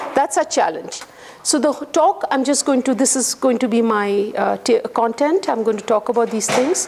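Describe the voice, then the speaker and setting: A woman speaks loudly at a moderate pace, her pitch high. Her intonation is lively, with noticeable background noise. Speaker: guest lecturer. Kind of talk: lecture.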